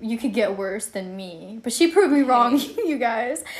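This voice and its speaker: The intonation is lively, with noticeable background noise throughout. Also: woman. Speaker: podcast co-host, college student. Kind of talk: casual chat.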